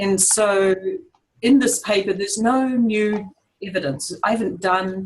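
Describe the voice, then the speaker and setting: Speaking at a fairly slow pace, a woman has a somewhat breathy, medium-pitched voice with ordinary pitch variation. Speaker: public health researcher. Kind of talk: interview.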